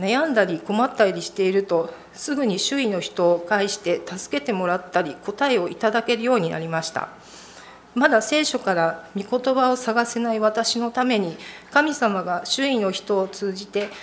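Moderate pacing and lively intonation from a female speaker. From Japan. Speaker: church member. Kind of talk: testimony. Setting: church. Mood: earnest, calm. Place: church. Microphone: podium.

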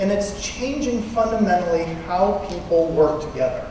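Amid strong room echo and light background noise, a man talks with a high pitch. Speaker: conference presenter. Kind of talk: lecture. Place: hall.

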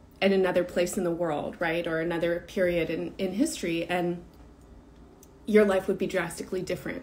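A woman is talking. She keeps a moderate pace. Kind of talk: reflective talk on a live stream. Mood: calm, thoughtful. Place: home room. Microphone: phone near.

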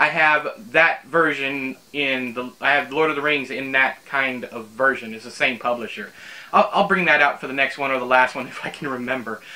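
A man talks at a moderate pace with ordinary pitch variation. His loudness swings widely. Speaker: book reviewer. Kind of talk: casual vlog chat. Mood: amused, mildly exasperated. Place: home room.

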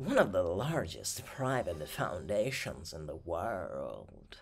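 In a put-on character voice, a man speaks very slowly at a medium pitch. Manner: exaggerated, stereotypical.

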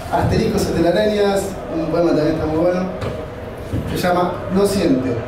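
A man talks at a moderate speed, his voice carrying audible room echo amid noticeable background noise. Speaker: poetry reader. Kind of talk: poetry reading at a live event, with spoken asides between poems. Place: stage.

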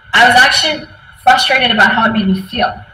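Faint music plays behind a woman speaking with an American accent. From US West Coast, San Francisco; California. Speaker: tech team lead, conference speaker; conference speaker. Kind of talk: conference talk. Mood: reflective, personal storytelling. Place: office. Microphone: webcam.

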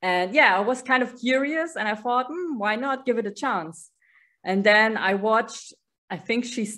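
A woman with a German accent speaks at a moderate pace in a high, bright, sharp voice. Her intonation is lively, and the background is quiet. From Germany. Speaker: band superfan, office clerk; interviewee. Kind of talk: casual interview. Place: home room. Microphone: video call.

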